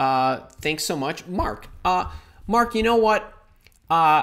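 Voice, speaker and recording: With a Chicago accent, a man talks at a fairly slow pace in an animated tone, his pitch swinging very widely. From US Midwest, Chicago. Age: 50s. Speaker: career coach. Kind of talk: live stream Q&A. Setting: live online stream.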